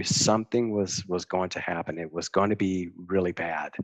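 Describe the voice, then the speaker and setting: Recorded with a dry, close sound and no echo, a man with a normal speaking voice talks at a moderate pace with fairly even intonation. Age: 50s. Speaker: recovering addict, military retiree. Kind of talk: recovery story in casual podcast chat.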